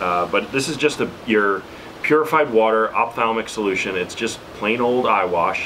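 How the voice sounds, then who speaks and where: Over light background noise, a man with an American accent speaks at a moderate pace with ordinary pitch variation. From New York City. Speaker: YouTuber reviewing survival gear; preparedness vlogger. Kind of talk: product tutorial. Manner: casual with frequent fillers. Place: home room.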